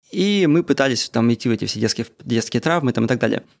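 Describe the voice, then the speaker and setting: Dry and close with no echo, this very clean recording of a man has a silent background. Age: 30s. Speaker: podcaster. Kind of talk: casual monologue. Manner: casual, unedited.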